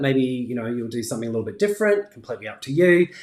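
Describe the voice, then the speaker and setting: With a New Zealand accent and lively intonation, a man with a fairly high-pitched voice speaks in a room with audible echo. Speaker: crafting YouTuber. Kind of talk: live stream tutorial and chat. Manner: casual, many fillers. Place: home room.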